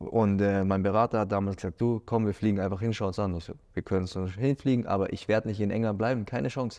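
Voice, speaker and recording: Over a quiet background, the speaker goes at a very fast pace in a dark, mellow tone with fairly even intonation. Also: man, fairly low pitch for a man, hardly any pauses. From Germany, Munich; Germany. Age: 30s. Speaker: former professional footballer. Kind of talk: interview; interview answer. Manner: hesitant with many fillers. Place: studio. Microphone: lapel.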